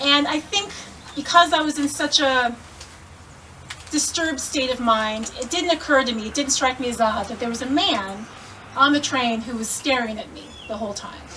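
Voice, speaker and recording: Over noticeable background noise, a raised, projected voice with an American accent and ordinary pitch variation speaks with long, frequent pauses. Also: woman, high pitch for a woman, moderate pace. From Indianapolis, Indiana, US Midwest. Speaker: Korean adoptee storyteller. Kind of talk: personal storytelling to a live audience.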